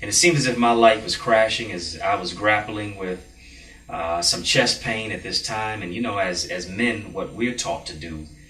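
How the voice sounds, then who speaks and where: Moderately paced, a man speaks at a fairly low pitch with ordinary pitch variation, with audible room echo and noticeable background noise. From Jamaica. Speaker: motivational speaker and mentor. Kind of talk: TV interview.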